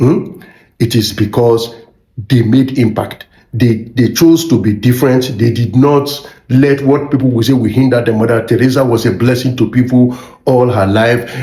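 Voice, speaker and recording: Speaking in a Nigerian accent, a man at medium pitch keeps his intonation fairly even and his loudness very even. Audible room echo surrounds the voice. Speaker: motivational YouTuber. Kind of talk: motivational talk. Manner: fast.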